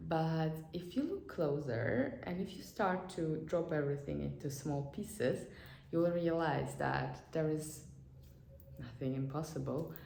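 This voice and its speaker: A woman speaks at a fairly slow pace. Audible room echo and noticeable background noise are in the recording. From Azerbaijan. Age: 20s. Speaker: vlogger and psychologist. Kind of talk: motivational vlog talk. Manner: halting, many fillers and repetitions.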